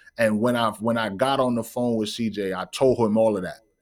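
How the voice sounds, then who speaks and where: The recording is very clean, with a silent background. A man speaks at medium pitch at a fairly quick pace. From US Northeast, Bronx, New York City. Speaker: author and networking coach. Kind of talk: casual interview chat. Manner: animated.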